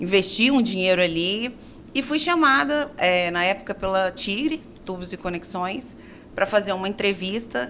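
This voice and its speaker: At a moderate pace, a woman with medium pitch speaks in a bright, sharp tone with lively intonation. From Brazil, Minas Gerais. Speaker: architect and business owner. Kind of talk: interview.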